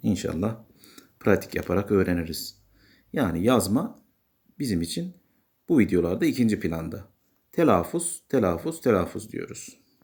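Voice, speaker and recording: A man with an unremarkable speaking voice talks at a moderate pace, his fairly low pitch carried by lively intonation on a very clean recording with a silent background. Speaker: English teacher. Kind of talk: tutorial.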